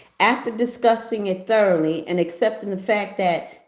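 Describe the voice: The clip offers plain reading aloud, and its pitch moves in an ordinary way.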